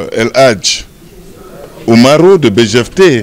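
The pace is slow. The intonation is lively. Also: man.

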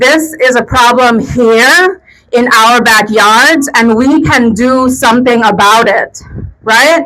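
The woman's voice sits high in pitch and holds a very even loudness throughout. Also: ordinary pitch variation. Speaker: rally speaker, domestic violence advocate. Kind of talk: rally speech. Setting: outdoor protest rally with crowd. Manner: emotional, earnest, impassioned; fluent, direct appeal to crowd.

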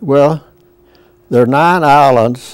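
The sound is dry with no echo as a man talks at a fairly slow pace with ordinary pitch variation. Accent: Southern US. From US South. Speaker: World War II veteran. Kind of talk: interview. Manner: halting. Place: studio. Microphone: lapel.

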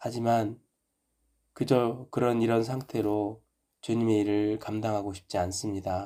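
A man speaks at a fairly slow pace in a flat monotone. His voice is fairly low, with a dark, mellow tone. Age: 50s. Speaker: pastor / ministry teacher. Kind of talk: devotional reflection and prayer.

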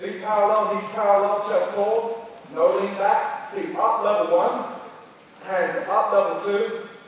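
Strong room echo surrounds a man with a high pitch who speaks fairly slowly with fairly even intonation.

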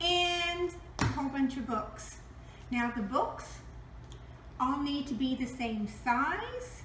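A woman speaks at a very slow pace in a high voice, with audible room echo and light background noise. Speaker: presenter. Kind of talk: tutorial. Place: kitchen. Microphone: camera far.

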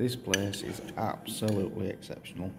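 Over music in the background, a man talks in a fairly low pitch with monotone, flat intonation. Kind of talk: casual vlog chat. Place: cafe. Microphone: phone near.

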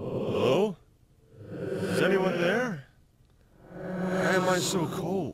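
A put-on character voice at a middle pitch, very slow, with long, frequent pauses. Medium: tutorial demo.

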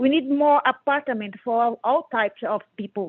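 A woman with a Portuguese accent speaks at a moderate pace. Her pitch is high, with ordinary pitch variation. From Brazil. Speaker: member of the public testifying. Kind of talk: public hearing testimony. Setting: phone dial-in to virtual hearing. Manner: halting.

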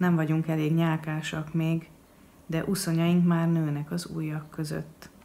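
A woman with a Hungarian accent speaks at a very slow pace. Her pitch is very deep and low, with monotone, flat intonation. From Hungary. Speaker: poet. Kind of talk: poetry reading. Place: home room. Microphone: webcam.

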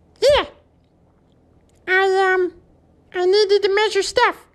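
A put-on character voice speaks at an extremely high pitch and a very slow pace.

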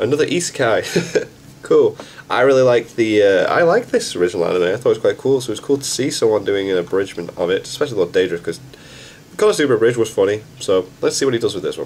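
The speaker talks at a very fast pace with very wide pitch swings over light background noise. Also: man. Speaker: reaction video host. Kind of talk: casual vlog chat. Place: home room. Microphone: webcam.

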